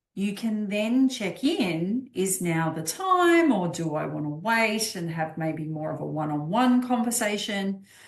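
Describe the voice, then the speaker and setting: A woman's medium-pitched voice has lively intonation. She goes at a fairly slow pace against noticeable background noise. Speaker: life coach for midlife women. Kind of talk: live stream talk. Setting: live stream. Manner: loud.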